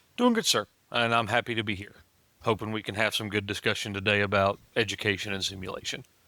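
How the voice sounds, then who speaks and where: A very fast man's voice, fairly low in pitch, with a bright, sharp tone and monotone, flat intonation. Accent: strong Southern US. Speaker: flight paramedic. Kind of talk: interview.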